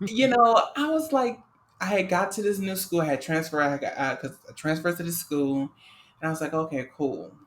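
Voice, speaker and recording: The speaker talks at a fairly quick pace in a New Orleans accent. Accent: New Orleans Southern US. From US South, New Orleans. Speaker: podcast co-host. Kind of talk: casual chat. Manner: halting, many fillers.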